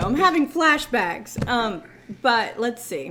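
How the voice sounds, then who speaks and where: A woman's voice over noticeable background noise. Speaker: car dealership finance manager. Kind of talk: casual chat. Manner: halting.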